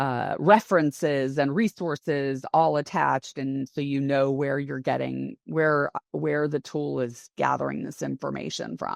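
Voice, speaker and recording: Against a quiet background, a woman speaks fairly slowly with hardly any pauses. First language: not English. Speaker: head of internal audit. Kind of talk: interview conversation.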